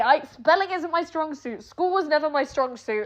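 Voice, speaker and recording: A woman with a British accent, animated tone and lively intonation at a moderate pace. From England. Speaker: streamer. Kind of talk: rant.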